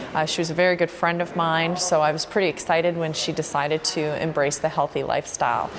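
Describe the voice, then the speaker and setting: A woman's fairly low, monotone, flat voice with a Canadian accent, very fast with hardly any pauses, over noticeable background noise. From Canada, Vancouver Island, British Columbia. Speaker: fitness trainer, gym owner. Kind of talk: documentary interview.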